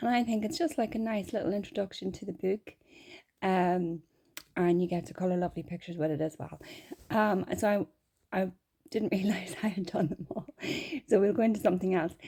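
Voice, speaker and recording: A woman speaks at a fairly quick pace in a medium pitch, with a dark, mellow tone. Her pitch varies in an ordinary way, and she leaves long, frequent pauses. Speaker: gaming streamer. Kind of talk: casual gameplay commentary. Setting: at home with cat nearby.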